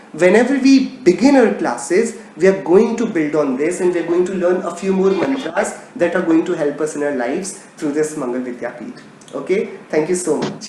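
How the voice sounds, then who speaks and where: Someone with an Indian accent talks at a moderate pace with lively intonation, audible room echo and noticeable background noise. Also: man, high pitch for a man. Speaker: religion teacher. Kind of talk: casual chat; lecture.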